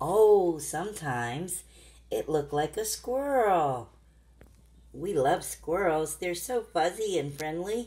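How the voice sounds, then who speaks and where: A woman with a fairly low pitch speaks at a very slow pace, her warm, gentle, dark, mellow tone moving through very wide pitch swings. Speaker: grandmother reading to her granddaughter. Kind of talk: children's bedtime story reading. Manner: warm, gentle, interactive. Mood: gentle, warm, soothing. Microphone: phone near.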